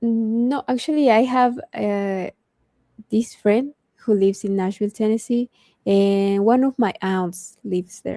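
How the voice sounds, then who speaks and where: Delivered at a fairly slow pace with a non-native accent, the voice has a dark, mellow tone and a dry, close sound with no echo. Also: woman, fairly high pitch for a woman, ordinary pitch variation. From Mexico. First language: Spanish. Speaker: cosplayer and streamer. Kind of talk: casual interview chat. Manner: halting.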